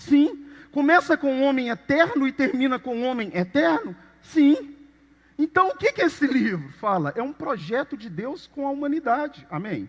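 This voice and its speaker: A man with an extremely high pitch talks at a moderate pace with lively intonation, noticeable background noise behind him. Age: 50s. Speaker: pastor. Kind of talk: sermon.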